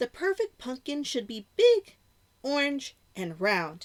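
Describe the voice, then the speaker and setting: A woman's put-on character voice, high-pitched with very wide pitch swings, at a fairly slow pace. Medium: read story.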